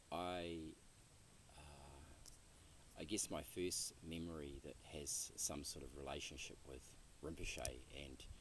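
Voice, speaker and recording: Amid audible room echo, a man speaks at a very slow pace in a very deep, low voice with vocal fry and fairly even intonation. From New Zealand, rural North Island. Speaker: interviewee, Buddhist practitioner. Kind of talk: interview. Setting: outdoor retreat land, Western Massachusetts. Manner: halting, many fillers and repeats.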